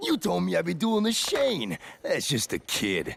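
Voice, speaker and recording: A man performs a cartoonish character voice. He speaks at a moderate pace. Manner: gruff, blunt.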